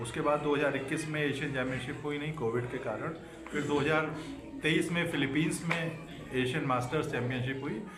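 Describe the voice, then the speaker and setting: Noticeable background noise and audible room echo surround the speaker. He is a man with a fairly high pitch. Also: fairly even intonation, moderate pace. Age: 60s. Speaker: masters athlete, retired official. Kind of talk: interview. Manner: hesitant fillers.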